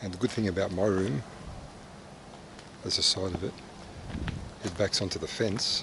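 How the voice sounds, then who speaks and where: Soft-spoken and fairly low-pitched, a man talks with fairly even intonation and long, frequent pauses over noticeable background noise. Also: moderate pace. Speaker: vlogger and mining camp worker. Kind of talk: casual travel vlog. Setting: outdoors walking around a mining camp. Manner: hesitant, many fillers; softly spoken to avoid waking night shift.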